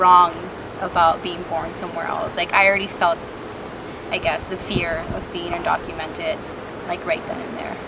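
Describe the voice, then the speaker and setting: A woman speaks in a Spanish accent with monotone, flat intonation. Noticeable background noise and audible room echo fill the recording. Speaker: immigrant youth. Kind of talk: personal testimony interview.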